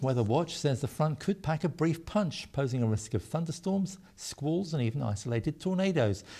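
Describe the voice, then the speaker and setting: Speaking fairly quickly with lively intonation, a man sounds somewhat breathy on a very clean recording with a silent background. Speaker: news presenter. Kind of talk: TV news bulletin reading.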